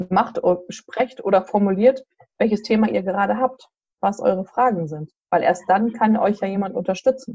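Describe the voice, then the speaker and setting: A woman speaks at a moderate pace and medium pitch in a somewhat breathy voice with a dark, mellow tone and ordinary pitch variation, recorded with a dry, close sound and no echo. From central Hesse, Germany. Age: 40s. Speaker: association chairwoman. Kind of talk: interview. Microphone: bad connection.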